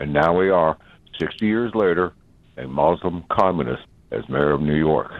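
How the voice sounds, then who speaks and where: Lively intonation marks this man's speech at a moderate pace. His pitch is very deep and low. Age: 80s+. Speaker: caller. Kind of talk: call-in talk radio.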